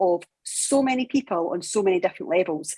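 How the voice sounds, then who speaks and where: A woman speaks in a plain, everyday voice at medium pitch with lively intonation. Her pace is moderate. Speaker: podcast co-host, gym co-owner.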